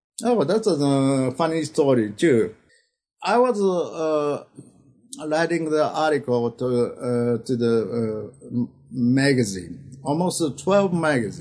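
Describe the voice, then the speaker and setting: In a Japanese accent, a man speaks at a very slow pace with lively intonation and very even loudness. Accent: Japanese accent, non-native English. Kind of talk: interview. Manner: halting, many fillers.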